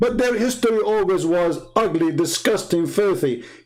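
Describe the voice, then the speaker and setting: A man with an Arabic accent, music playing in the background. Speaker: religious debater, livestreamer. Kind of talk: livestream rant. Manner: animated, heated.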